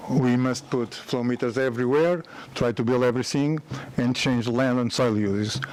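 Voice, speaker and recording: Amid noticeable background noise, a man speaks at a moderate pace with fairly even intonation and very even loudness. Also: medium pitch for a man. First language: Portuguese. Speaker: company founder and engineer. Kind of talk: conference presentation. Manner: halting.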